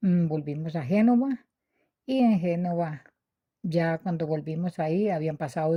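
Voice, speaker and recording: Her dark, mellow voice is fairly low with ordinary pitch variation, captured by a woman on a very clean recording with a silent background. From Colombia, Quindío. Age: 70s. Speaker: witness of political violence. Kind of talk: personal testimony. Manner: halting.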